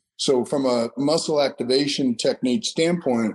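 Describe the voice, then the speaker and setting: At a moderate pace, a man speaks at a medium pitch in an ordinary speaking voice. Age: 50s. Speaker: strength and conditioning trainer. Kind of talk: interview.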